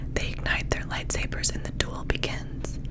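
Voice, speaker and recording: A woman is whispering. Noticeable background noise can be heard. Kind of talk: whispered book reading, ASMR. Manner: whispered, soft, close-mic.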